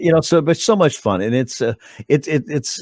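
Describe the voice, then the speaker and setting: A man talks at a very fast pace with ordinary pitch variation. The recording is very clean with a silent background and a dry, close sound with no echo. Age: 60s. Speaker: TV news anchor. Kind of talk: interview. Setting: webcast. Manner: halting.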